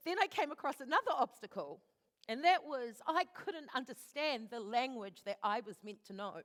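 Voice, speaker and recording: A woman with a strong New Zealand accent, high in pitch with very wide pitch swings, at a moderate pace, in a dry, close sound with no echo. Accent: thick New Zealand. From New Zealand, East Auckland (left Fiji as a child). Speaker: actor and director. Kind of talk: live talk. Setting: stage with audience.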